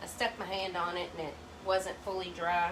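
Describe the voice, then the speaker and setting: Amid noticeable background noise and audible room echo, a woman with a medium pitch speaks at a moderate pace in an animated tone. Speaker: crafter vlogger. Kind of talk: casual tutorial chat. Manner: loud; chatty, animated.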